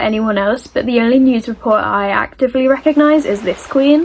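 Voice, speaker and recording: A woman with an American accent speaks at a fairly quick pace in a high pitch, with ordinary pitch variation and noticeable background noise. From Britain. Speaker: YouTube commentary creator. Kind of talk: casual online commentary.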